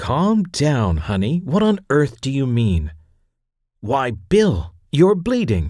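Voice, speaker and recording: Put-on character voice from a man at medium pitch, very slow with very wide pitch swings, on a very clean recording with a silent background. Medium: read story.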